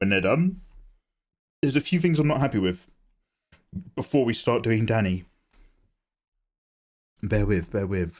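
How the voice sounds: Using a croaky put-on character voice, a man speaks at a moderate pace with a medium pitch.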